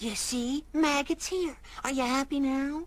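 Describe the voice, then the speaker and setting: A cartoonish character voice sounds female, with a high pitch for a woman. It moves at a fairly slow pace. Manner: easygoing, wisecracking.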